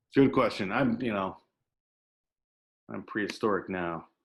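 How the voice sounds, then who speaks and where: Very slow speech from a man with an American accent, ordinary pitch variation, quiet background. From US Pacific Northwest. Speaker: invited speaker. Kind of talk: panel Q&A talk.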